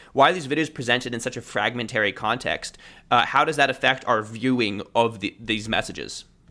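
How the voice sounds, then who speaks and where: A man at a fairly quick pace, with a medium pitch, ordinary pitch variation, and a bright, sharp tone. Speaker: linguistics content creator and author. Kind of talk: interview conversation. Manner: fast.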